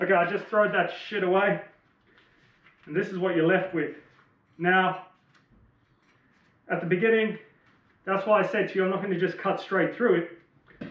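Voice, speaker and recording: A man's high-pitched, monotone, flat delivery with an Australian accent, at a moderate pace with long, frequent pauses and audible room echo. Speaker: motorbike DIY vlogger. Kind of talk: tutorial. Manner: casual.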